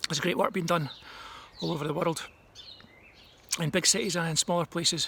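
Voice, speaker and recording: Over noticeable background noise, a man speaks in a Scottish accent at a fairly quick pace, his high pitch held to fairly even intonation. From Scotland. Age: 50s. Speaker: advertising strategist. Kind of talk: recorded talk. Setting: at home. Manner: casual, hesitant with frequent ums.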